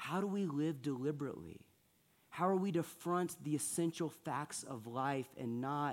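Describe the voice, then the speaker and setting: On a very clean recording with a silent background, a man with an American accent and a plain, everyday voice speaks at a fairly slow pace with lively intonation. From US South, Atlanta, Georgia. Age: 30s. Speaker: priest. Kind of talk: sermon. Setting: church.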